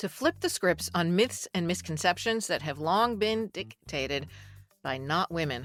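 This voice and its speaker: A woman's medium-pitched, lively voice over music in the background. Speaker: public radio journalist and podcast host. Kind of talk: podcast intro.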